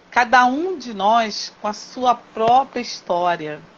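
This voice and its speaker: Amid noticeable background noise, a woman with a fairly high voice speaks at a very slow pace. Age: 60s. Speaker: teacher and craftswoman. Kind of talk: interview conversation.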